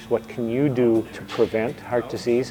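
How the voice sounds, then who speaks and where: Through noticeable background noise, a man speaks at a medium pitch with monotone, flat intonation. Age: 60s. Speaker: heart attack survivor and counselor. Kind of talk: testimony. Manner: halting.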